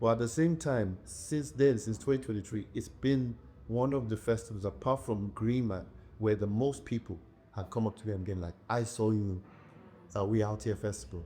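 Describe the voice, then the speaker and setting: The voice has a dark, mellow tone and is somewhat breathy. It moves at a moderate pace with ordinary pitch variation. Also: man, fairly low pitch for a man. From England, Nigerian heritage. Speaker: poet and musician. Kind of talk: interview answer.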